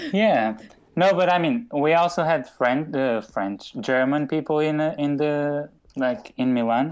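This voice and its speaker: A man's fairly slow, fairly high-pitched voice in a Portuguese accent, with lively intonation. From Portugal. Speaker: podcast host. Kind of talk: casual chat.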